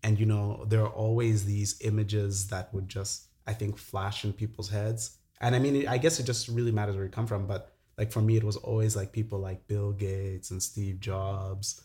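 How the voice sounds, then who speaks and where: Here a man speaks at a moderate pace in a fairly low pitch, somewhat breathy, with fairly even intonation. The recording is very clean with a silent background. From Zambia. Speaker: entrepreneur. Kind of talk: casual chat.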